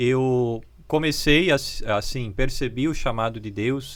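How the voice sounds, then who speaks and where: The man has an ordinary speaking voice, pitched in the medium range, and his pitch varies in an ordinary way. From Brazil, Santa Catarina (Luiz Alves). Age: 30s. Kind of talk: interview.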